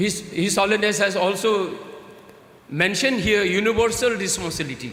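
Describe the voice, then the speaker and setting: Amid noticeable background noise and audible room echo, a man with a Tibetan accent and a high pitch talks at a moderate pace with ordinary pitch variation. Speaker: Tibetan political leader, guest speaker. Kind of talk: conference speech. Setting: stage with audience. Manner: halting.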